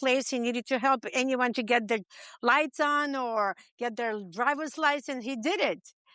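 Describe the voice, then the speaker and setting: In a raised, projected voice, a woman with a non-native accent speaks at a fairly quick pace, her high pitch and bright, sharp tone caught in a dry, close sound with no echo. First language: not English. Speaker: podcast interview guest. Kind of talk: interview. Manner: halting.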